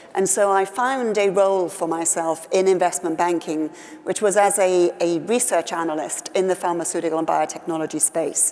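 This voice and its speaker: A woman with a Welsh accent talks at a moderate pace, hardly pausing, in a fairly low pitch. Her intonation is fairly even, and noticeable background noise runs underneath. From West Wales. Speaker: politician. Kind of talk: interview.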